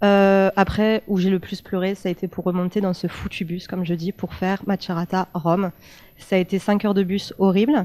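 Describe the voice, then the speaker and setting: A woman speaks at a moderate pace in a medium pitch, her tone dark and mellow, on a very clean recording with a silent background. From France, Italian family. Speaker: former exchange student. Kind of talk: panel testimony. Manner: animated.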